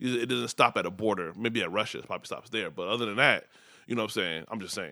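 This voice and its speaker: Over a silent background in a very clean recording, a man with a Chicago accent speaks very fast in a fairly low voice, with a bright, sharp tone and ordinary pitch variation. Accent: Chicago American English. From Chicago area, Nigerian household. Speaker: startup founder. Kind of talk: casual chat.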